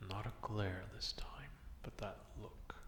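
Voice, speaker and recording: A man whispers in a put-on character voice that sounds gruff. He speaks at a fairly slow pace. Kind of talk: ASMR roleplay. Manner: gruff, grudging.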